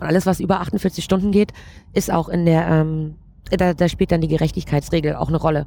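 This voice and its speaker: A woman with a fairly low pitch and a dark, mellow tone talks at a fairly quick pace with monotone, flat intonation. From Saxony, Ore Mountains (Erzgebirge). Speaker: flight attendant. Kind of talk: interview.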